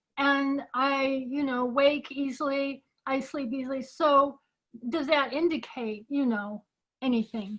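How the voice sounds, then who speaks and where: Speaking at a fairly slow pace, a woman uses a high pitch and fairly even intonation. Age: 60s. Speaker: audience member asking question. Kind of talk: Q&A question.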